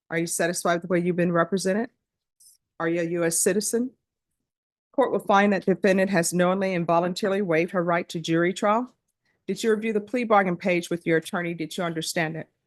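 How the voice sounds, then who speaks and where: A woman's fairly low voice in a Louisiana accent, very fast with fairly even intonation, over a quiet background. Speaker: judge. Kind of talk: court proceeding. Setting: courtroom. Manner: formal.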